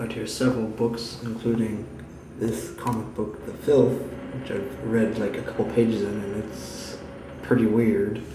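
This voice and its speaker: A man mumbles quietly at medium pitch with fairly even intonation. He keeps a moderate pace over noticeable background noise. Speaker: college student. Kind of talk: casual vlog talk to camera. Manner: quiet, mumbling.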